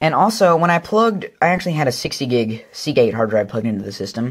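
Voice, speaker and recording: A man talking at a fairly quick pace, with lively intonation. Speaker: tech YouTuber. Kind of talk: hardware show-and-tell. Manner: fast; casual, filler-heavy.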